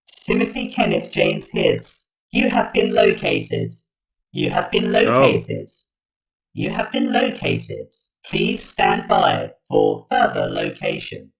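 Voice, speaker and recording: A raspy, put-on character voice. It moves at a fairly slow pace. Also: man. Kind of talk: robotic, repetitive announcement. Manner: sinister.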